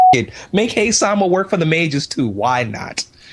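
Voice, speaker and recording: A man with a somewhat breathy voice speaks at a moderate pace, his pitch varying in an ordinary way. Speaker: video game player. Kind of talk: casual chat. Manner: animated, jokey.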